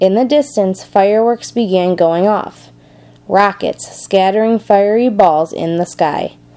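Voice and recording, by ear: The speaker is reading aloud in a natural voice. The pitch shows ordinary variation.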